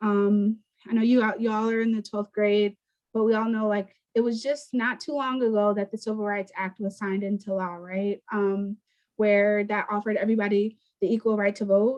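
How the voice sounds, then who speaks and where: With a medium pitch and a monotone, flat intonation, a woman speaks at a moderate pace. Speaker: environmental nonprofit communications manager. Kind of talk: presentation to students over video call. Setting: video call.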